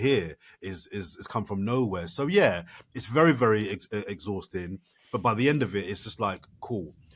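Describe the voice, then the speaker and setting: A man with a British accent speaks at a moderate pace in a fairly low voice, with ordinary pitch variation. His loudness swings widely, and the recording is very clean with a silent background. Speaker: Channel 4 broadcaster and sports presenter. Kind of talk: podcast interview answer. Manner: animated, fluent, conversational.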